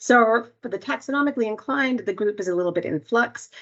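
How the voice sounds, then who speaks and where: In a Canadian accent, a woman with a plain, everyday voice talks at a fairly quick pace, her fairly high pitch carrying lively intonation. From Canada. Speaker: entomologist. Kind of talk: webinar presentation.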